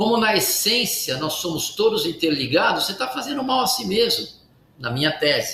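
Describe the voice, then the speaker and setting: A man speaks in a raised, projected voice, high-pitched for a man, with very wide pitch swings. Noticeable background noise and audible room echo are present. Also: moderate pace. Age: 60s. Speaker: medical doctor, cardiologist. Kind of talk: interview.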